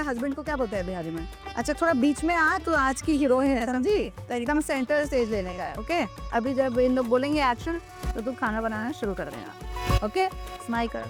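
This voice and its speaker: With music in the background, a woman speaks in a high pitch at a moderate pace, her intonation lively. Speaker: chef. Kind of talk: casual cooking show talk to camera.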